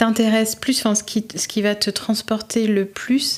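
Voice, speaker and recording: A woman with an unremarkable speaking voice talks at a fairly slow pace and a medium pitch. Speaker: podcast host / interviewer. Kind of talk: interview question.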